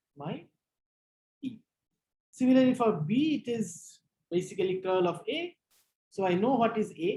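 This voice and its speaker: Her tone is dark and mellow, and somewhat breathy. The woman talks fairly slowly with lively intonation. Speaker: physics lecturer. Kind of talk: lecture.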